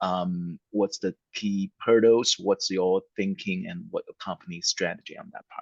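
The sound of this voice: A man's vocal fry with ordinary pitch variation, dry and close with no echo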